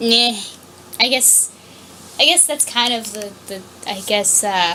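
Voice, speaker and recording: A fairly high-pitched woman speaks at a very slow pace with ordinary pitch variation and big swings in loudness. Noticeable background noise is present. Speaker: fan fiction reader. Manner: halting.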